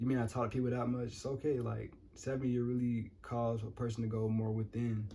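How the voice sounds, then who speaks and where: A man with a medium pitch and a dark, mellow tone sounds somewhat breathy. He speaks at a fairly quick pace with monotone, flat intonation and very even loudness. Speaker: numerology vlogger. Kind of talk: casual vlog monologue. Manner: fast; improvised, casual.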